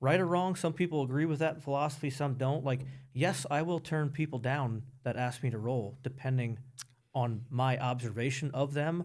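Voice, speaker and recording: A man with a Pennsylvania accent, medium-pitched and very even in loudness. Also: ordinary pitch variation, moderate pace. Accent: Pennsylvania American. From Pennsylvania (Emmaus, near Allentown). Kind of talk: podcast interview. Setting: studio.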